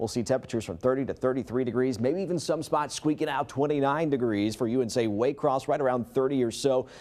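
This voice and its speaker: This man talks very fast at a medium pitch, with ordinary pitch variation and hardly any pauses. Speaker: broadcast meteorologist. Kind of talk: TV weather forecast anchor-style delivery.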